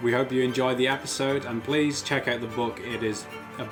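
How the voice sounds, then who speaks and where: Over music in the background, a man with a medium-pitched voice speaks at a fairly quick pace. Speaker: interviewer. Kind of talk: show intro to camera.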